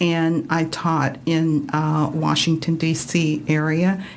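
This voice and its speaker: A woman with an American accent, very slow, at a very deep, low pitch with fairly even intonation, amid noticeable background noise and audible room echo. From Florida, Miami. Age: 70s. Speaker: retired teacher. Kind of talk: radio interview. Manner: hesitant, many fillers.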